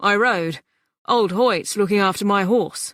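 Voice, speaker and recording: A raspy, put-on character voice sits fairly high in pitch. It moves at a fairly slow pace on a very clean recording with a silent background. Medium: read story. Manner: warm, easygoing.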